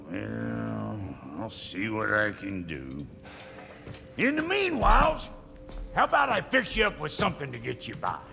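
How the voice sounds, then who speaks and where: A man puts on a gruff character voice at a moderate pace, with long, frequent pauses. Clear music plays in the background. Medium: video game. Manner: gruff, profane, blunt.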